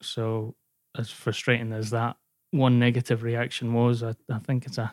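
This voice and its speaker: Flat and monotone, a man speaks at medium pitch. The recording is very clean and dry, close with no echo and a silent background. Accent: Glasgow. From Scotland, partly raised in North Wales. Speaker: sports journalist. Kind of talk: personal testimony interview.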